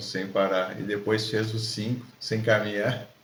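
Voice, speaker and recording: The delivery is monotone and flat, and somewhat breathy. Audible room echo surrounds the voice. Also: man. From southern Brazil, Rio Grande do Sul (Alegrete). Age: 60s. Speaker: ultramarathon runner, supermarket supervisor. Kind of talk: casual interview. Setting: at the host's home.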